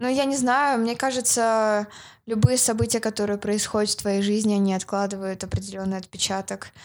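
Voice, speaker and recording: Over a silent background in a very clean recording, a woman uses an unremarkable speaking voice, fairly high in pitch, at a moderate pace with fairly even intonation. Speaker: marketer. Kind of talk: casual interview.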